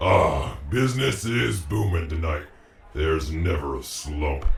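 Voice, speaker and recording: A man speaks at a fairly slow pace in a put-on character voice, his very deep, low pitch swinging very widely, with a slight echo. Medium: read story. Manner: gruff, boisterous.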